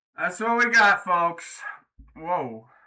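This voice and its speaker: A man speaks in a raised, projected voice, high-pitched and bright with a sharp edge, his intonation lively throughout. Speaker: artist and video creator. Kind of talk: casual monologue to camera. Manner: loud.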